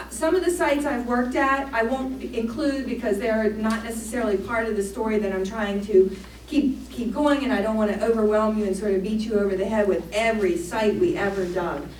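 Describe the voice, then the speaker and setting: Over noticeable background noise and audible room echo, a woman with an American accent talks at a fairly quick pace with hardly any pauses, her pitch fairly high with ordinary variation. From Maryland, US. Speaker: archaeologist. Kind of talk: public lecture. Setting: church hall with audience. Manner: fast.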